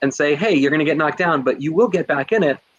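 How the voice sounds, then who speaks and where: Talking at a very fast pace, a man with a fairly high pitch uses ordinary pitch variation. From New Jersey. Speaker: teacher and instructional coach. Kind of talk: webinar presentation. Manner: animated.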